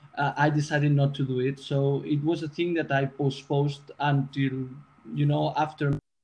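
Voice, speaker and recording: Somewhat breathy and fairly high-pitched, a man speaks at a moderate pace with monotone, flat intonation. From Spain, Barcelona. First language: Spanish or Catalan. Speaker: music production student. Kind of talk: casual chat. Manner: halting.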